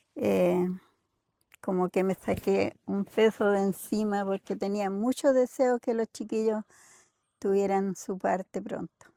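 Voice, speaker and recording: Very slow speech in a dark, mellow tone, with ordinary pitch variation, a dry, close sound with no echo, and a very clean recording over a silent background. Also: woman, medium pitch for a woman. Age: 70s. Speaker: grandmother interviewed by grandson. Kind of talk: family interview.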